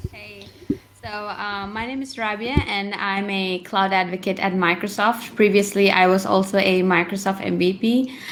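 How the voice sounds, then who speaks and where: Noticeable background noise behind a woman with fairly even intonation. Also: medium pitch for a woman, moderate pace, big swings in loudness. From India. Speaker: cloud developer advocate. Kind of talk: panel discussion.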